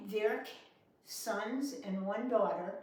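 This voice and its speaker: A woman speaks fairly slowly at a medium pitch in a New York accent, with ordinary pitch variation. Noticeable background noise and audible room echo are present. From New York City. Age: 80s+. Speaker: war-era memory storyteller. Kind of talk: personal recollection.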